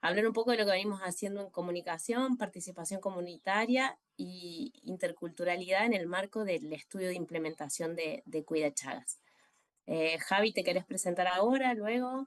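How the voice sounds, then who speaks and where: In a Córdoba Argentine accent, a woman speaks at a moderate pace and medium pitch with ordinary pitch variation, the sound dry and close with no echo. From Argentina, Córdoba. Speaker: communicator and social health researcher. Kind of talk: presentation in a virtual panel. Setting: video call. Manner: hesitant, many fillers.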